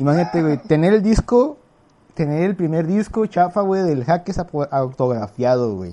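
With a Mexican accent, a man talks at a moderate pace in a fairly high voice with lively intonation. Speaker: podcast host, physician. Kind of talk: casual chat.

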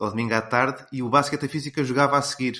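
This man has a normal speaking voice, pitched in the medium range, with fairly even intonation. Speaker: sports commentator. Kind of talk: casual chat.

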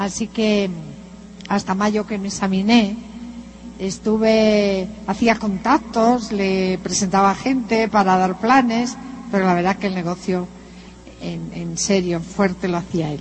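Music plays in the background as a woman speaks at a fairly slow pace with fairly even intonation. She leaves long, frequent pauses. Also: medium pitch for a woman. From northern Spain (Santander). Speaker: motivational speaker, businesswoman. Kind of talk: motivational talk. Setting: stage with audience.

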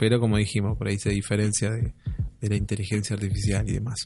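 A man speaks in a somewhat breathy voice. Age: 30s. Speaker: podcast co-host. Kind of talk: casual chat.

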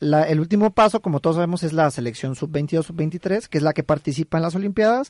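A man with an ordinary speaking voice talks at a fairly quick pace, with hardly any pauses and fairly high pitch. His pitch variation is ordinary, and the sound is dry and close with no echo. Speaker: sports radio co-host. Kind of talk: casual chat.

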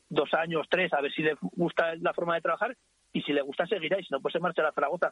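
A man's high-pitched voice, very fast, with fairly even intonation. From Ricla, Aragon, Spain. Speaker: school headteacher. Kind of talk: interview. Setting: phone call.

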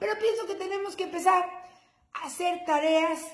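A woman speaks in an animated tone with a Mexican accent. The room echo is audible, and background noise is noticeable. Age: 40s. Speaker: podcast host, mother and lawyer. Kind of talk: casual comedic monologue.

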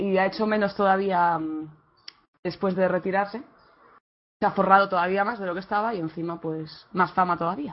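A woman talks at a moderate pace, leaving long, frequent pauses. Her pitch is medium and her intonation fairly even. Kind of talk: casual chat.

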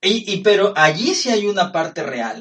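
A man speaks with a high-pitched voice. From Norway. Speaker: podcast co-host. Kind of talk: casual chat.

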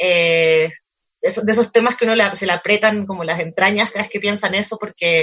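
Fairly quick female speech at a medium pitch, its intonation fairly even. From Chile. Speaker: cultural manager, book fair organizer. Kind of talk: casual interview chat. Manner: halting, many fillers and repetitions.

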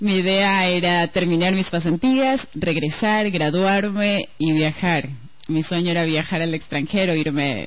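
A woman talks at a fairly slow pace with hardly any pauses and very even loudness. Noticeable background noise runs underneath. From Ecuador, Guayaquil (coast). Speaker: radio broadcaster. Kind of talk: radio interview.

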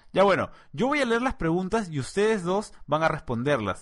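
With noticeable background noise behind him, a man speaks at a moderate pace in a high pitch that makes very wide swings. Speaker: podcast host. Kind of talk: casual chat.

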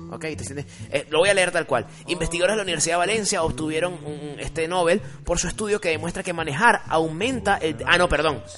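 Very fast speech from a man with a high pitch and ordinary pitch variation, amid noticeable background noise. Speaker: podcast host. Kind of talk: casual chat.

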